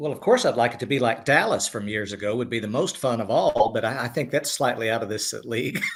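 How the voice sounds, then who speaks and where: Medium in pitch, a man's voice rushes along very fast. The intonation stays lively. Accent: Southern US. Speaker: screenwriter. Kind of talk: panel interview.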